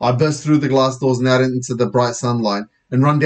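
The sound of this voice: Heard against a quiet background, an unforced reading voice moves with fairly even intonation.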